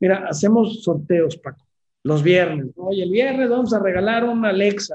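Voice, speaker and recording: High-pitched male speech at a moderate pace, with ordinary pitch variation. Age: 50s. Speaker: founder of a retirement savings app. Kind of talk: interview.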